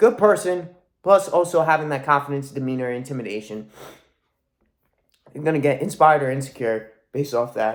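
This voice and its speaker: Loud, fairly quick speech with lively intonation and long, frequent pauses. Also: man, fairly high pitch for a man. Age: young. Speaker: motivational vlogger. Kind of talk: motivational monologue. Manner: animated.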